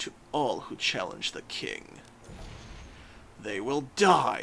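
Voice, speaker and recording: A man's put-on character voice at a very slow pace, clear background noise behind it. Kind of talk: formal, archaic. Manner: menacing, imposing.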